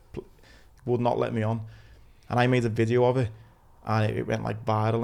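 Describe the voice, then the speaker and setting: A man speaks very fast in a Liverpool accent. His intonation is monotone and flat. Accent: Scouse (Liverpool). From Liverpool, England. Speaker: podcast host, injured war veteran. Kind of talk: casual interview chat.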